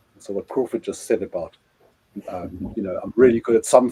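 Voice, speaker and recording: A man's medium-pitched voice with a dark, mellow tone and a dry, close sound with no echo. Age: 60s. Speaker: business owner. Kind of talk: panel discussion. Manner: halting.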